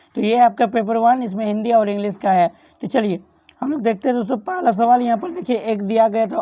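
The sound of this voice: A woman speaks at a fairly quick pace in a medium pitch, her tone dark and mellow and her pitch varying in an ordinary way.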